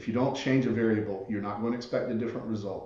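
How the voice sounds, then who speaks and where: With an American accent, a man speaks in a flat monotone at a fairly low pitch, with audible room echo and noticeable background noise. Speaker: author and entrepreneurship expert. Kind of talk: podcast interview.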